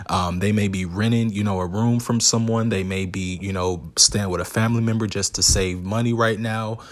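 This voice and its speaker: Fairly low pitch for a man with an American accent, fairly even intonation, moderate pace and hardly any pauses. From US South. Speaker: podcast host. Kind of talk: solo educational monologue.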